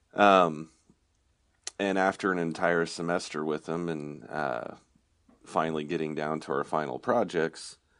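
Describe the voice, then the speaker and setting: A man with an American accent speaks in a very deep, low pitch. His pitch varies in an ordinary way, broken by long, frequent pauses. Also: fairly slow pace, quiet background. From Oklahoma. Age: 30s. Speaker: guitar effects parts company owner. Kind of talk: casual interview chat. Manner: halting, many repeated words.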